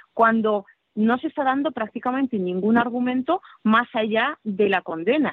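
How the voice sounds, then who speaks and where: A woman talks with lively intonation and a fairly high pitch, keeping a moderate pace. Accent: Russian. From Siberia, Russia. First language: Russian (speaking Spanish). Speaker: political scientist. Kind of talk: interview.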